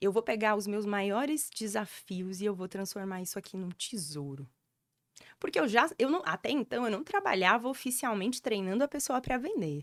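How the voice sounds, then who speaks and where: Animated in tone with lively intonation, a woman speaks at a fairly high pitch and moderate pace on a very clean recording with a silent background. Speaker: storytelling mentor. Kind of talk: podcast interview, personal story. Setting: podcast studio.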